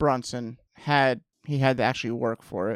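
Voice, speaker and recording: A man is heard on a very clean recording with a silent background, the sound dry and close with no echo. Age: 30s. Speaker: MMA podcast co-host. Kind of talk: casual chat.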